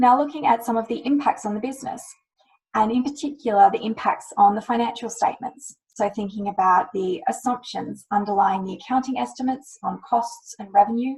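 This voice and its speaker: A woman's fairly high voice in an Australian accent, at a fairly quick pace, with big swings in loudness and ordinary pitch variation. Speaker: climate risk lawyer. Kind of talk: webinar presentation. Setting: webinar.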